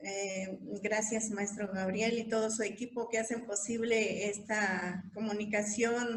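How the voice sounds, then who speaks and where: Over noticeable background noise and audible room echo, a woman talks at a very slow pace with hardly any pauses, her fairly high pitch held in a monotone, flat intonation. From Mixe highlands, Oaxaca, Mexico. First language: Mixe (Ayuk) (speaking Spanish). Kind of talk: panel discussion. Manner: halting.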